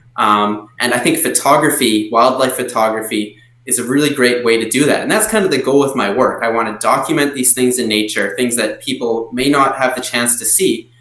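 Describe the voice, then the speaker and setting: Over noticeable background noise, a man with a medium pitch talks at a fairly quick pace. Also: fairly even intonation. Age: young. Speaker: wildlife photographer. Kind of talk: interview answer.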